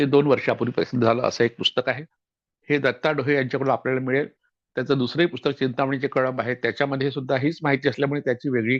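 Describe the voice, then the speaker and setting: With a normal speaking voice, a man talks with fairly even intonation and very even loudness. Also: medium pitch for a man. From Vidarbha, Maharashtra (Yavatmal district). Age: 60s. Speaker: historian and author. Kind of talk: lecture-style book introduction.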